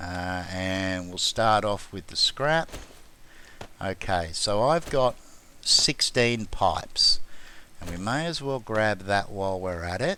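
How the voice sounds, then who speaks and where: Lively intonation marks this man's fairly low voice. He speaks at a very slow pace with an Australian accent. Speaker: gaming YouTuber. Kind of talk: gameplay commentary tutorial. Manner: casual, hesitant fillers.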